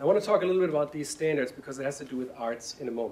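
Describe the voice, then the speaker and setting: A man speaks with a German accent. His pitch varies in an ordinary way. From Germany. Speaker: science education director. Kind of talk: panel presentation.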